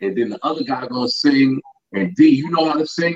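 A man's fairly high-pitched voice in a New York accent, fairly quick in pace with lively intonation. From Yonkers, New York. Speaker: musical artist. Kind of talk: casual chat.

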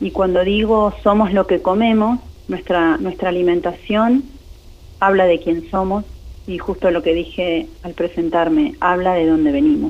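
A woman speaks in an ordinary speaking voice at a medium pitch. Her intonation is lively. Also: fairly slow pace. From Argentina, Greater Buenos Aires (Berazategui). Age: 40s. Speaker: tourism and gastronomy researcher and lecturer. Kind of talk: interview.

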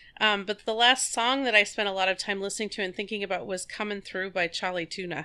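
Very fast speech from a woman at a medium pitch, with a bright, sharp tone, hardly any pauses, and fairly even intonation. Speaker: artistic director and composer. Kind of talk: casual interview.

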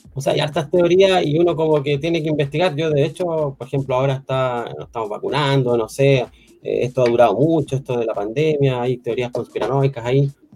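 A man's fairly high, somewhat breathy voice with a Chilean accent, dark and mellow in tone, at a fairly quick pace with hardly any pauses and ordinary pitch variation. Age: 50s. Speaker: IT college teacher. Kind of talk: casual interview chat.

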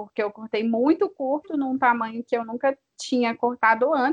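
The sound is dry and close with no echo as a woman talks at a high pitch with fairly even intonation. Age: 20s. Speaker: psychologist and doula. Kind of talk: casual interview.

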